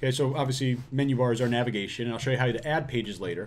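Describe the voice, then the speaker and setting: Very fast in pace, a man speaks at a medium pitch. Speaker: online business course creator. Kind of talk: tutorial. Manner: casual, filler-heavy.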